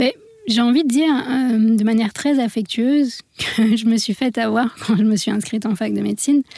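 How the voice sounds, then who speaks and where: A woman with a fairly high pitch talks at a moderate pace, her loudness very even and her intonation fairly even, in a dry, close sound with no echo but noticeable background noise. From India (born in France). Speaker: medical doctor and wellness coach, author. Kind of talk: radio interview.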